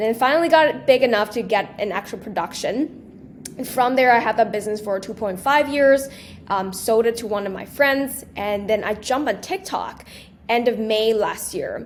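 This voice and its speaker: A woman speaks at a fairly high pitch with ordinary pitch variation. Her pace is moderate, with noticeable background noise. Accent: non-native. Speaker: small business entrepreneur and social media creator. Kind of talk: podcast interview.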